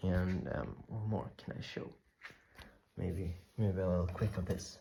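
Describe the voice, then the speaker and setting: A man with a very deep, low pitch speaks fairly slowly and somewhat breathily, using ordinary pitch variation. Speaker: knife-making video creator. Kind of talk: casual vlog talk. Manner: halting with fillers.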